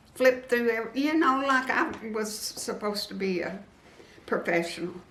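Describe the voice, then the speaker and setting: With audible room echo and noticeable background noise, a woman speaks at a moderate pace, her fairly high voice carrying lively intonation. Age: 70s. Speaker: quilting and decor YouTuber. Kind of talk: interview.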